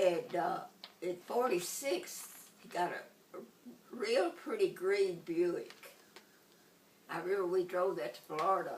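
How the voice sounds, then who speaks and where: Over noticeable background noise, a woman with a Tennessee accent speaks at a fairly slow pace and a medium pitch, with ordinary pitch variation, big swings in loudness, and long, frequent pauses. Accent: Southern US (Tennessee). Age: 80s+. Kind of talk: interview answer.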